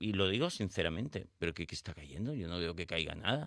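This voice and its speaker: Recorded very cleanly against a silent background, a man with a very deep, low pitch and a bright, sharp tone talks at a moderate pace with lively intonation. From Spain, Barcelona. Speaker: psychologist and author. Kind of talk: radio interview. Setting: radio studio.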